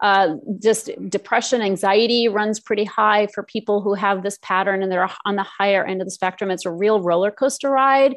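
A woman with a plain, everyday voice speaks at a medium pitch and a moderate pace, her intonation fairly even and hardly any pauses, over a quiet background. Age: 50s. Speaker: emotional eating coach. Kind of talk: interview.

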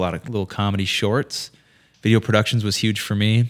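A man with an American accent and an unremarkable speaking voice, fairly low-pitched and fairly quick, on a very clean recording with a silent background. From Minnesota, Fergus Falls. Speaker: video production company co-founder, director. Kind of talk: casual interview chat.

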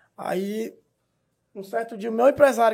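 The recording is very clean, with a silent background. A man speaks at an extremely high pitch. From Brazil, Pará (Eldorado). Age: 20s. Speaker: social media comedian. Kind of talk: casual chat.

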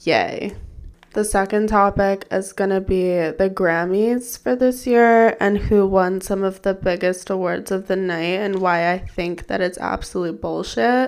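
Here is a woman with an ordinary speaking voice, medium-pitched with ordinary pitch variation. She goes at a fairly slow pace in a very clean recording with a silent background. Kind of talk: casual solo podcast monologue. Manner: casual, chatty, self-deprecating.

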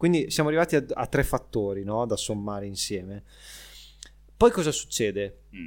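Taking long, frequent pauses, a man speaks at a moderate pace and medium pitch with lively intonation and big swings in loudness on a very clean recording with a silent background. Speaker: podcast co-host explaining Formula 1. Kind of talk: casual chat. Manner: animated.

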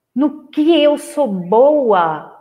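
The woman's high voice moves very slowly, with lively intonation. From rural Brazil. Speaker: therapist and coach. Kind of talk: online live lecture. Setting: livestream with screen share. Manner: casual, warm.

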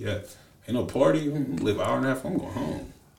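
A man's medium-pitched speech carries audible room echo, with noticeable noise in the background. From US Midwest (Lorain, Ohio). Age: 20s. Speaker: former college football player. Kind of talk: casual chat. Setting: studio.

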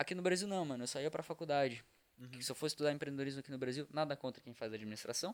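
A man at a fairly high pitch, talking at a very fast pace. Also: ordinary pitch variation. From Santa Catarina, Brazil (Criciúma). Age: young. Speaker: startup co-founder, university student. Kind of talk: casual chat.

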